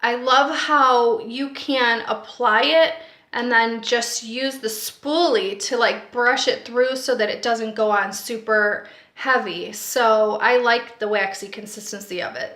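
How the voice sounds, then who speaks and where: A woman speaks at a very slow pace in a high pitch. Audible room echo fills the recording. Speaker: beauty vlogger. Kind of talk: product review. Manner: casual, with filler words.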